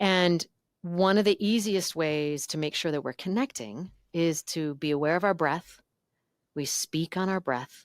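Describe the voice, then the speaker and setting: A woman speaks at a fairly low pitch and a fairly slow pace, with lively intonation. The recording is very clean with a silent background and a dry, close sound with no echo. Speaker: voice and communication coach. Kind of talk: podcast interview.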